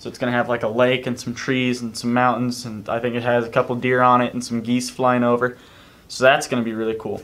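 A man with a bright, sharp tone at a fairly quick pace. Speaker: vlogger. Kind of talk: casual vlog chat. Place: home room. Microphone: camera far.

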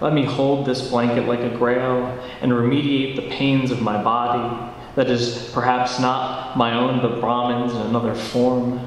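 A man speaks in a monotone, flat intonation, with strong room echo and light background noise. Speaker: poet and teacher. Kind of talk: poetry reading. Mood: quiet, dreamy, reflective. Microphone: handheld.

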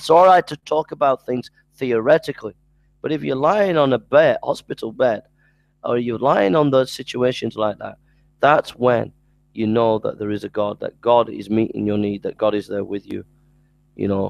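At a moderate pace, a man speaks at medium pitch with ordinary pitch variation and vocal fry, in a dry, close sound with no echo.

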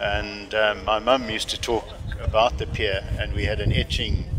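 A man talks at a moderate pace in a fairly low pitch. Background noise is clearly audible.

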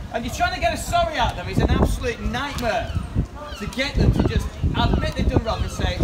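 Loud background noise fills the recording. Over it, a man speaks at a fairly quick pace. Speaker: teacher and street preacher. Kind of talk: street preaching, open-air address to passers-by. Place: street.

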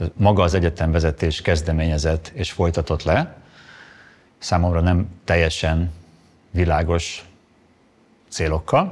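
A man with a very deep, low voice speaks at a fairly slow pace, leaving long, frequent pauses. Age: 50s. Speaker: economist, former university lecturer; former university lecturer. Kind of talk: testimony. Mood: calm, measured, serious. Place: studio.

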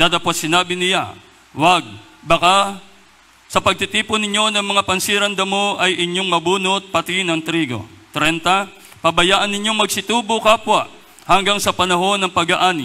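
Raising and projecting his voice, a man speaks at a moderate pace and a high pitch with fairly even intonation. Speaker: scripture reader. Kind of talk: reading aloud. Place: church. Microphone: handheld.

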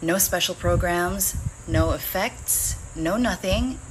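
Speech comes at a very slow pace. Noticeable background noise is present. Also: woman. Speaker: voice actor. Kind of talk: casual talk to camera. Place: home room. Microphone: phone near.

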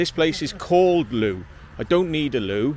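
The sound is dry with no echo. Light background noise can be heard. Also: man. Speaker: urban explorer vlogger. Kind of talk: casual vlog chat. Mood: jokey, laughing. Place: open country. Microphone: phone near.

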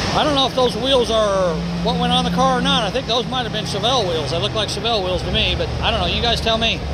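Loud background noise beneath a man talking at a very fast pace. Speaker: car show visitor vlogger. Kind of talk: casual vlog commentary. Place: hall. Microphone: phone near.

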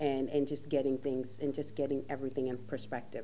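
A woman's very deep, low voice at a fairly quick pace over light background noise. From Caribbean. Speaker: talk show host. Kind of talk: casual chat. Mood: warm, reflective, animated. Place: studio.

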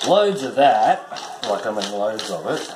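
Loud background noise surrounds a man talking at a moderate pace. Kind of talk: casual cooking tutorial. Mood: relaxed, joking. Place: kitchen. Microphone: camera far.

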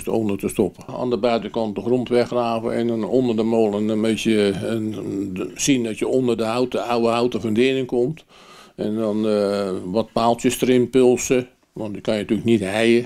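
The man's tone is dark and mellow, and his intonation stays fairly even. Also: moderate pace, quiet background. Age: 80s+. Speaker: miller. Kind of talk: interview answer.

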